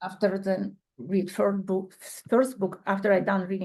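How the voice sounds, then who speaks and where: Speaking fairly slowly, a woman has a non-native accent. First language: not English. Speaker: podcast guest, bereaved parent. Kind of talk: casual chat. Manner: halting.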